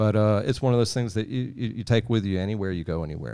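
With a Southeast Texas accent, a man with a fairly low, dark, mellow voice talks very fast with lively intonation on a very clean, silent-background recording. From Southeast Texas (Sour Lake). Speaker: world traveler and outdoors video creator. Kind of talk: casual chat.

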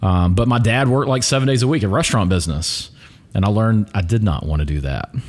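Noticeable background noise accompanies a man with an American accent and a fairly low pitch. He talks at a very fast pace with very wide pitch swings and very even loudness. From Alabama, US South (Pelham, near Birmingham). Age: 40s. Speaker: real estate agent. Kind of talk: casual chat.

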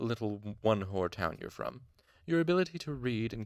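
Lively intonation throughout, reading aloud in a natural voice

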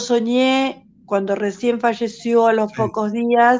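In a Rioplatense accent, a woman with a fairly high pitch speaks at a very slow pace. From Uruguay. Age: 70s. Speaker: caller. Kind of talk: testimony.

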